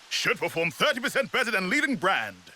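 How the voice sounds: Using a put-on character voice, a man talks at a high pitch with a bright, sharp tone. He moves at a fairly quick pace with big pitch swings.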